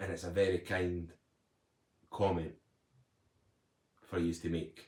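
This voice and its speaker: Somewhat breathy, a man talks at a fairly slow pace in a very deep, low pitch with monotone, flat intonation. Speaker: motivational speaker, recovered addict. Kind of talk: live stream chat. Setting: live stream at home.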